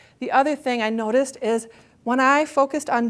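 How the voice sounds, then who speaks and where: A woman talks at a fairly quick pace on a very clean recording with a silent background. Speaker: author and networking workshop speaker. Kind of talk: motivational talk. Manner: fast; animated.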